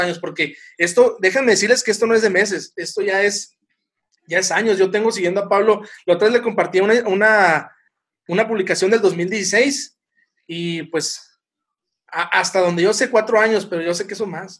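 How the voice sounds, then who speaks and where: This man has a high-pitched voice and ordinary pitch variation. He speaks at a moderate pace. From Sonora, northern Mexico. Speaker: podcast host. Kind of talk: casual chat.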